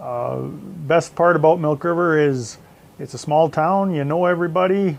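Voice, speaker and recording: Fairly even intonation in a Western Canadian accent. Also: man, fairly high pitch for a man, moderate pace. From Southern Alberta, Canada. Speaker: farmer. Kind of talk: interview.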